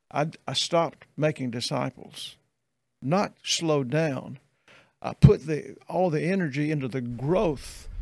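Someone with a Southern US accent speaks at a fairly slow pace with ordinary pitch variation. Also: man, fairly high pitch for a man. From US South. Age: 70s. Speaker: pastor. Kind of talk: casual chat.

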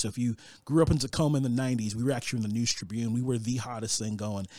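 A man with an American accent talking at a very fast pace, medium-pitched and animated, with ordinary pitch variation, on a very clean recording against a silent background. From New York. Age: 30s. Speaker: youth ministry worker. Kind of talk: casual chat.

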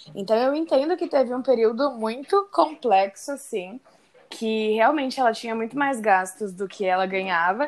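Using an unremarkable speaking voice, a woman talks at a moderate pace with lively intonation and a fairly high pitch. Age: 20s. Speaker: guest, friend and former coworker of host. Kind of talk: casual chat.

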